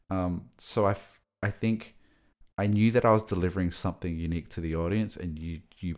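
In a very clean recording with a silent background, a man with an Australian accent speaks in a very deep, low pitch and fairly even intonation. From Australia (Sydney). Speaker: creative director and music manager. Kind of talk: casual interview chat.

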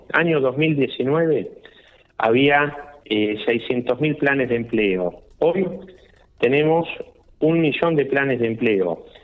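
Pausing long and often, a man speaks at a very slow pace with a fairly high pitch. His loudness stays very even throughout. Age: 40s. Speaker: political candidate. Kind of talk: radio interview. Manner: halting, many fillers.

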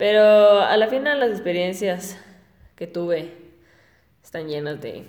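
A woman speaks at a very slow pace. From Ecuador (Guayaquil). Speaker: podcaster. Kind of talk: casual monologue. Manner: halting, with frequent repetitions.

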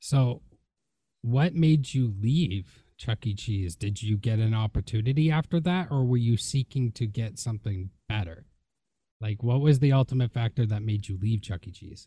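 A man speaks at a moderate pace with a medium pitch, ordinary pitch variation and a dark, mellow, somewhat breathy tone. The sound is dry and close with no echo, over a quiet background. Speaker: podcast host and wrestler. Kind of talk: casual interview.

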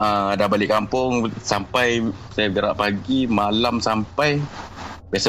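Fairly low-pitched speech from a man amid noticeable background noise. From Pahang, Malaysia. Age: 30s. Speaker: caller sharing ghost story. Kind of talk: storytelling. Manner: animated, with sound effects.

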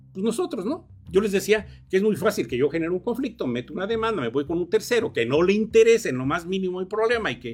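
A man rattles along very fast, his intonation lively. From Mexico, Morelos. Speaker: law professor. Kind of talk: radio interview. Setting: radio studio.

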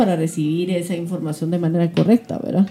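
Somewhat breathy and dark, mellow in tone, a woman's voice moves at a fairly quick pace. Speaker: web show host. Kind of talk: interview. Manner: fast.

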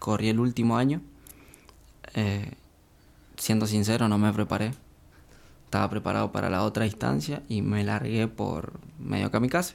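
Delivered at a moderate pace, the speech has lively intonation, very even loudness, and long, frequent pauses. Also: man, fairly low pitch for a man. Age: 20s. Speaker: elite triathlete. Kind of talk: casual interview.

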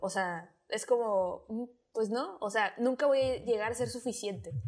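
A woman speaks with a normal speaking voice at a fairly slow pace, her pitch varying in an ordinary way. The recording is very clean, with a silent background. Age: 20s. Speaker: podcaster. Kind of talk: casual chat.

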